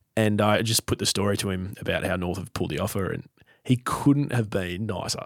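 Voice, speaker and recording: With an Australian accent, a man talks at a fairly quick pace in a fairly low voice with ordinary pitch variation. The sound is dry and close with no echo, on a very clean recording with a silent background. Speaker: football podcast host. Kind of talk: casual chat. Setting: studio, face to face.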